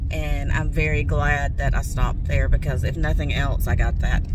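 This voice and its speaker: A woman talks at a moderate pace, with loud background noise behind her. The sound itself is dry, with no echo. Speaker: reseller vlogger. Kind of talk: casual vlog chat. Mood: happy, excited about find. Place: car. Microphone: phone near.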